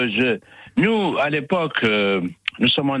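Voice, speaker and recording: This man's tone comes across as bright and sharp. He talks at an unhurried, moderate rate. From Algeria (Algiers). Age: 70s. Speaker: retired radio journalist. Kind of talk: testimony. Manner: articulate, trained diction.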